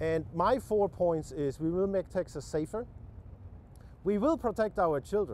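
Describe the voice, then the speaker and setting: The speaker is a man, moving at a moderate pace. Ordinary variation marks his pitch. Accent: German. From Germany. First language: German. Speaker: political candidate. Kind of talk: interview. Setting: TV news interview. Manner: unrehearsed, halting with many repetitions.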